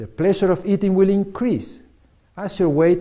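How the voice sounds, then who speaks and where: This man speaks with a Spanish accent at a high pitch. His tone is dark and mellow. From Argentina. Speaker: physician and author. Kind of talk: reading aloud.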